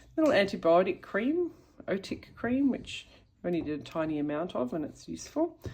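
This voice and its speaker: A woman with an Australian accent speaks at a medium pitch and a fairly quick pace. Her voice is somewhat breathy, with very wide pitch swings. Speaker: YouTuber. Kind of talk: show-and-tell tutorial. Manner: casual, hesitant with fillers.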